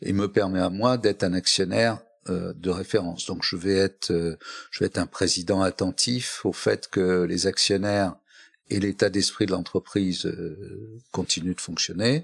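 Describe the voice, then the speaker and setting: The sound is dry and close, with no echo. A man with a very deep, low pitch speaks at a fairly slow pace with fairly even intonation. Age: 70s. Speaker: company chairman. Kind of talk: interview. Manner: hesitant, many fillers.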